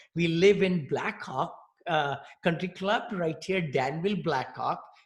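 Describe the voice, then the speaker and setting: Using an Indian accent, a man with a high voice speaks at a moderate pace with ordinary pitch variation. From India, New Delhi. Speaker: real estate investor. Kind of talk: interview.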